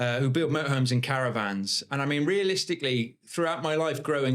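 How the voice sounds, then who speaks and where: A very fast-talking man with a West Country accent and ordinary pitch variation, on a very clean recording with a silent background. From Bath, south-west England. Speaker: property investor. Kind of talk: podcast interview. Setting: podcast studio.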